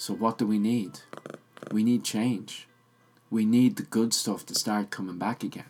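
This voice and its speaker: Fairly slow pace with monotone, flat intonation and long, frequent pauses. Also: man, medium pitch for a man. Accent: Irish. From Ireland. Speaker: podcast host. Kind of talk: solo podcast monologue. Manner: casual, reflective.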